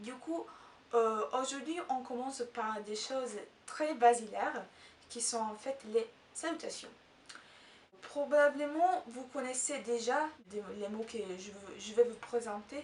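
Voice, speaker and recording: Speaking very slowly with an Italian accent, a woman with a high pitch leaves long, frequent pauses, her pitch varying in an ordinary way and her loudness swinging widely. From Italy. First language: Italian (speaking French). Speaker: language teacher YouTuber. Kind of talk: tutorial. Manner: halting, many hesitations.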